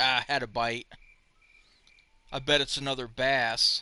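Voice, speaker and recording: Speaking with a Southern US accent, a man at a medium pitch talks at a fairly slow pace, his tone bright and sharp and his intonation flat and monotone. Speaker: game streamer. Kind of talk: live gameplay commentary. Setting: live stream. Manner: casual, chatty.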